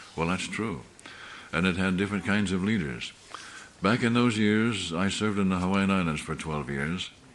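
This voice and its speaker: A man's very deep, low voice with ordinary pitch variation at a moderate pace, with noticeable background noise and audible room echo. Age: 70s. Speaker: pastor. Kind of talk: sermon. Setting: church meeting.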